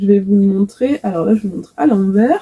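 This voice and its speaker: A fairly high-pitched, somewhat breathy woman's voice with a dark, mellow tone, at a moderate pace. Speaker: knitting and crochet vlogger. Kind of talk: casual video podcast chat. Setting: home workshop, facing camera. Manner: many filler hesitations.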